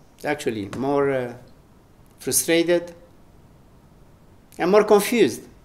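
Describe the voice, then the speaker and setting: Speaking slowly with long, frequent pauses, a man with an Italian accent uses a fairly high pitch and very wide pitch swings. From Italy. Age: 70s. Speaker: spiritual teacher. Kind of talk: spiritual talk.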